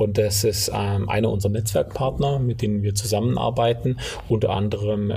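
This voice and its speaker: Fairly low in pitch, a man speaks with fairly even intonation amid noticeable background noise and audible room echo. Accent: slight Swabian. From Allgäu, southern Germany. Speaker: company co-founder. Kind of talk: interview. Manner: hesitant, many filler sounds.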